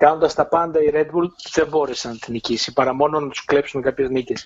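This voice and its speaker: His intonation fairly even, a man speaks in a fairly high pitch. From Greece. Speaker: Formula 1 journalist. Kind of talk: casual chat.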